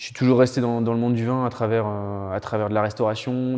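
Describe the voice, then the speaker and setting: His intonation stays monotone and flat. The man's delivery keeps a moderate pace. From Loire Valley, France. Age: 30s. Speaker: winemaker. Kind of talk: interview. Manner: halting, many hesitations and repetitions.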